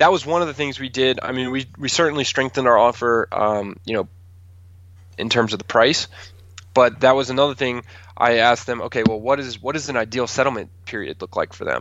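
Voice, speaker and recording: A man's plain, everyday voice at medium pitch, fairly quick in pace, with ordinary pitch variation. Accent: American. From Maryland, Calvert County. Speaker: realtor. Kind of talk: casual interview.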